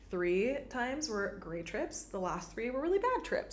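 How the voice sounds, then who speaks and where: A woman with an American accent talks at a fairly quick pace in an animated tone. There is noticeable background noise. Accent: perfect American accent (own words). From Venezuela, raised partly in Texas. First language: Spanish. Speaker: podcast host, spiritual teacher. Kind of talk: casual monologue podcast. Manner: animated, filler-heavy (like, repeated words).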